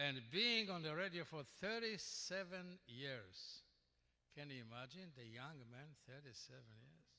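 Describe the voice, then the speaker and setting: A man with a Polish accent at a fairly slow pace, with very wide pitch swings and big swings in loudness. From Poland. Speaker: award honoree, radio broadcaster. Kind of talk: acceptance speech. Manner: halting.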